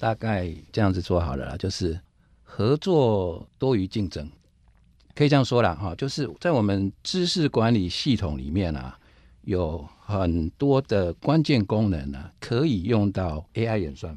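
Against a quiet background, a man with a fairly low pitch and a dark, mellow tone makes very wide pitch swings. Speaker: IT company division director. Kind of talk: interview.

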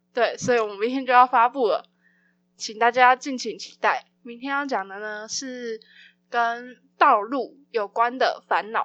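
The voice is bright and sharp in tone, moving at a fairly slow pace with ordinary pitch variation and big swings in loudness, in a dry, close sound with no echo over a quiet background. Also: woman, high pitch for a woman. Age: 20s. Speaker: podcast host and student. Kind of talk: casual solo podcast announcement.

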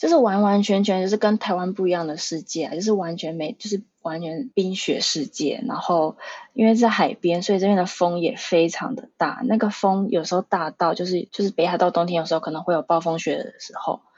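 A woman speaks at medium pitch with ordinary pitch variation. It is an ordinary speaking voice, at a fairly quick pace. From Taiwan (Pingtung). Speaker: tour guide. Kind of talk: casual interview.

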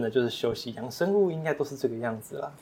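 A man speaks at a very fast pace and a medium pitch. He has a strong Taiwanese accent. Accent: Taiwanese Mandarin, strong. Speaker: aquaculture shrimp farmer. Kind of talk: casual interview.

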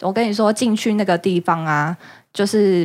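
In a very clean recording with a silent background, a woman with an unremarkable speaking voice talks at a moderate pace with ordinary pitch variation. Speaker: returned language-school student from New York. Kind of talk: casual chat. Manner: laughs often.

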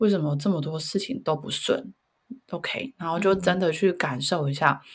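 With lively intonation and a somewhat breathy, fairly low voice, a woman speaks at a moderate pace. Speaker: career coach, parent. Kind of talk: casual chat.

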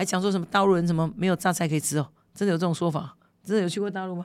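On a very clean recording with a silent background, a woman speaks very fast in an animated tone at a medium pitch. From Kinmen, Taiwan. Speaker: legislator. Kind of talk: interview.

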